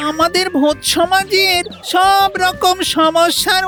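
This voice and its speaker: Over clear background music, a cartoonish character voice whines at an extremely high pitch and a fairly slow pace. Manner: whiny, melodramatic.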